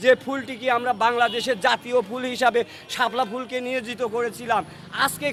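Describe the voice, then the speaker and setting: With noticeable background noise behind him, a man speaks at an extremely high pitch. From Bangladesh, Kushtia. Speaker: local resident interviewed by news channel. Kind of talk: impromptu patriotic speech. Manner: oratorical.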